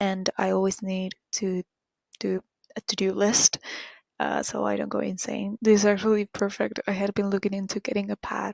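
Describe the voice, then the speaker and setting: A woman speaks with a Spanish accent. The sound is dry and close, with no echo. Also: moderate pace. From Argentina. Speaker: vlogger. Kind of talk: casual vlog talk. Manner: whispering.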